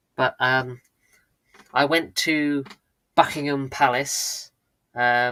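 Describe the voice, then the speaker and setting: The tone is bright and sharp, with a slight British accent and monotone, flat intonation. The pace is very slow, broken by long, frequent pauses. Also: man, medium pitch for a man. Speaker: live streamer. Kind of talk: casual chat. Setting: live stream. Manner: hesitant, many fillers.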